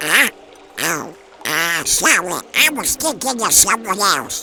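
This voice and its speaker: A man speaks in a put-on character voice at a fairly slow pace, pitched high. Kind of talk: comic dub dialogue.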